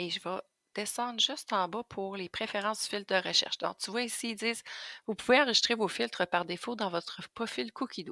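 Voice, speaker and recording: A woman with a Quebec accent speaks at a fairly quick pace in a bright, sharp tone, with fairly high pitch and ordinary pitch variation. The recording is very clean and silent in the background, dry and close with no echo. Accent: Québécois French. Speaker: Thermomix sales advisor. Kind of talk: tutorial. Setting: screen recording at computer. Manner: casual, hesitant with fillers.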